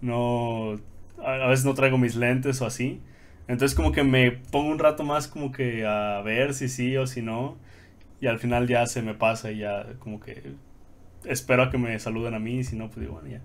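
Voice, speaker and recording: Against audible room echo, a man at a medium pitch talks at a moderate pace with fairly even intonation and big swings in loudness. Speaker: podcast co-host. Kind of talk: casual chat.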